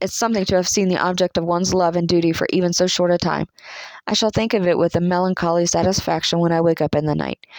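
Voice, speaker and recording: Talking very fast in a Southern US accent, a woman keeps a fairly low pitch, flat monotone intonation and very even loudness, in a dry, close sound with no echo. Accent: American Southern. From Southern United States. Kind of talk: audiobook reading.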